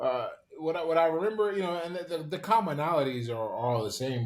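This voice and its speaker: A man with an American accent talking at a very fast pace with lively intonation. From US, Pittsburgh. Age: 30s. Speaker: former boxer and author. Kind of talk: podcast interview. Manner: hesitant, many repetitions.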